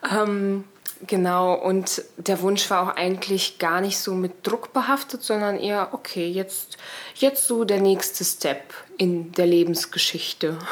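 A woman at medium pitch speaks at a very slow pace with ordinary pitch variation. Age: 30s. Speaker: podcast guest sharing personal story. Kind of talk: personal testimony in casual interview. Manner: animated.

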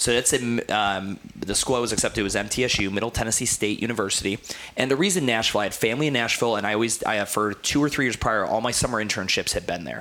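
Noticeable background noise sits behind a man talking at a very fast pace with hardly any pauses. His pitch is medium with ordinary variation. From Ohio, US. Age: 30s. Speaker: gym owner and fitness consultant. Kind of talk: casual interview.

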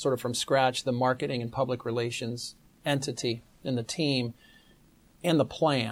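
A man speaks with an American accent at a medium pitch. He has an ordinary speaking voice. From US, Pittsburgh. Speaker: business school associate dean. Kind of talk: interview.

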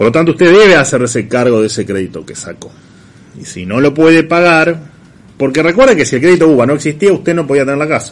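A man with an Argentine accent speaks at a very fast pace, his fairly high voice carrying lively intonation. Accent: Rioplatense Argentine Spanish. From Argentina, La Plata. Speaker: radio show host and economic commentator. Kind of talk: radio editorial and interview, casual. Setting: radio studio, streamed on video. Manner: hesitant, many fillers and repetitions.

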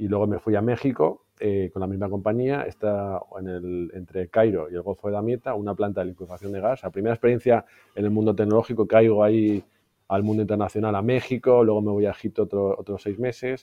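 Speaking at a fairly quick pace, a man with a Madrid accent keeps a fairly low pitch and fairly even intonation. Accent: Peninsular Spanish (Madrid). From Spain, Madrid. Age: 40s. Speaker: IT executive. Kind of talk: interview.

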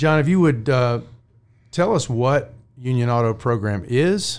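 A man with an unremarkable speaking voice, lively intonation and a fairly slow pace. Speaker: podcast host. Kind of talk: interview.

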